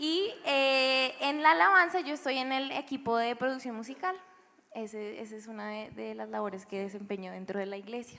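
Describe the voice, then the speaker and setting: A woman's high, bright, sharp voice with lively intonation, a moderate pace and big swings in loudness. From Bogotá, Colombia (born Valledupar, moved at seven). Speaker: church music producer. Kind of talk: panel interview testimony.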